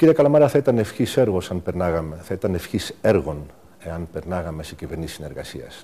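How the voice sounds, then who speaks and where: This man has a very deep, low pitch and a dark, mellow tone. He speaks at a moderate pace with lively intonation. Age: 60s. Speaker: diplomat and political candidate. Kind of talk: TV interview. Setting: TV studio.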